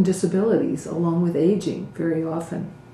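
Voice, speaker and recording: There is audible room echo as a woman speaks with a fairly low pitch and fairly even intonation. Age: 60s. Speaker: Buddhist community teacher. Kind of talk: talk to community.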